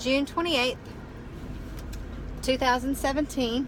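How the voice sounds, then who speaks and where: A woman talks with a Southern US accent. Noticeable background noise and audible room echo fill the recording. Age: 40s. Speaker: weight-loss surgery vlogger. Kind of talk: casual vlog update. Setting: in a car. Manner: casual with many fillers.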